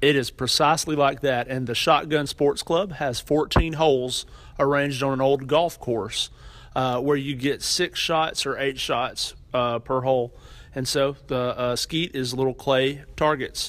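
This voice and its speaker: This man's voice is fairly high in pitch. He speaks fairly slowly, with fairly even intonation. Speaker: university student affairs administrator. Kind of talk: interview.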